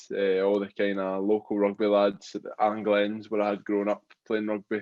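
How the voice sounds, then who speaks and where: A man with a Glaswegian accent speaks at a moderate pace. His fairly low voice stays monotone and flat in intonation. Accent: Glaswegian Scottish. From Scotland, Glasgow. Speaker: rugby player turned boxer. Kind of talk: interview.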